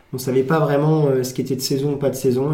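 A very fast, fairly high-pitched male voice, somewhat breathy and dark and mellow in tone, with monotone, flat intonation and audible room echo. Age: 20s. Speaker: farm shop owner. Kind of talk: casual interview.

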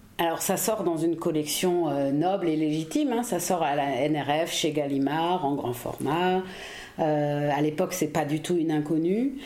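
Fairly slow speech with ordinary pitch variation and very even loudness, audible room echo and noticeable background noise. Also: woman, very deep, low pitch for a woman. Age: 40s. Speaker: historian, editor of a reissued book. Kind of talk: casual chat. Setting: apartment in Paris.

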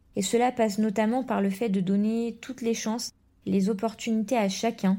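A woman's somewhat breathy voice with a dark, mellow tone at a medium pitch, moderate pace and fairly even intonation, in a very clean recording with a silent background. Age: 20s. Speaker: primary school teacher. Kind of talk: testimony.

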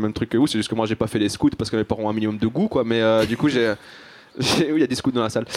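Over noticeable background noise, a man with a medium pitch speaks at a very fast pace with ordinary pitch variation. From Belgium, Brussels. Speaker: comedian. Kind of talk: live panel discussion.

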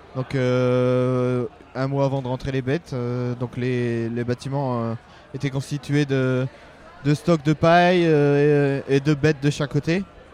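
A man at a medium pitch talks at a very slow pace with fairly even intonation, noticeable background noise behind him. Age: 30s. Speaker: livestock and crop farmer. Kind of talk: interview. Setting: busy trade fair stand. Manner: halting.

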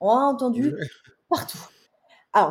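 The woman's voice is fairly high-pitched and somewhat breathy. Her intonation is lively. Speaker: wellbeing coach and entrepreneur. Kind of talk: interview conversation. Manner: articulate.

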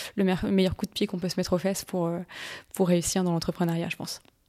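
Her tone dark and mellow, a woman speaks with monotone, flat intonation. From northern France, Lille. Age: 20s. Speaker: natural cosmetics workshop entrepreneur. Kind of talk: interview; tutorial. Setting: kitchen.

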